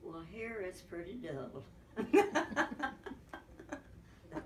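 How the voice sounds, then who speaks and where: A woman's voice amid noticeable background noise. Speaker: interviewee. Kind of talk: interview answer. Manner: frail elderly voice, slow with pauses. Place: home room.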